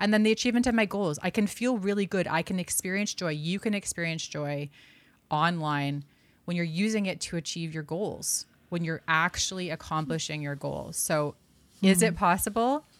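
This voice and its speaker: With a Canadian accent, a woman in a normal speaking voice talks at a fairly low pitch and a moderate pace with ordinary pitch variation, on a very clean recording with a silent background. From Canada, Vancouver. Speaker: author and digital well-being speaker. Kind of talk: interview conversation.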